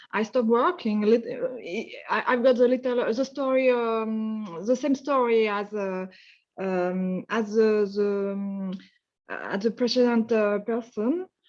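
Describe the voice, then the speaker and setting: A woman speaks at a fairly slow pace with a fairly high pitch. Her pitch varies in an ordinary way over a quiet background. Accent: French. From France. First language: French. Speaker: webinar participant, engineer. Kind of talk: casual self-introduction. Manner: halting.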